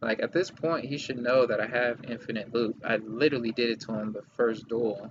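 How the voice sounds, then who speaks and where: Over background music, a quiet man talks at a fairly quick pace with fairly even intonation. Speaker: gaming streamer. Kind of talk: live stream gameplay commentary.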